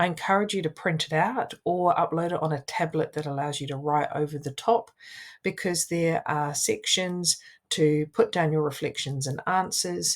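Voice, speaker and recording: On a very clean recording with a silent background, a woman with a New Zealand accent speaks at a moderate pace, with fairly low pitch and ordinary pitch variation. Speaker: wellbeing coach and social worker. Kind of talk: coaching tutorial.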